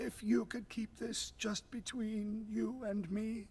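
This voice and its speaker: A raspy, put-on character voice, fairly high in pitch and fairly slow, with clear background noise. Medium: video game. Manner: conspiratorial.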